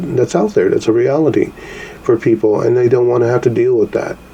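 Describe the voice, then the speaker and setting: A man is speaking. Noticeable background noise is audible. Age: 60s. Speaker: podcast host, call center worker. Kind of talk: solo podcast commentary. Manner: casual, hesitant with fillers.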